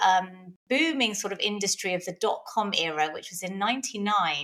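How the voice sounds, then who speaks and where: A woman speaks at a moderate pace with a bright, sharp tone and a medium pitch. The recording is very clean, with a silent background. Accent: London. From London, England. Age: 40s. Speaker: personal trainer. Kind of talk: interview conversation. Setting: podcast recording.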